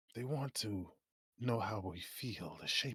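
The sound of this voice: Quiet background, ordinary pitch variation, and an unforced reading voice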